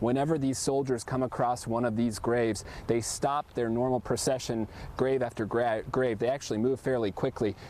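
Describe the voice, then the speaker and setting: A man at a medium pitch, speaking at a fairly quick pace. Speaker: TV news reporter. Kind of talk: live field report. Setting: outdoors at a cemetery. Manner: soft-spoken.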